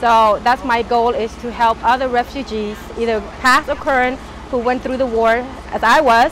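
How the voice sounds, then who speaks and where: Her pitch is high for a woman, and her intonation is monotone and flat. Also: moderate pace. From Cambodia. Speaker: refugee, master's student in human services. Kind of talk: personal interview.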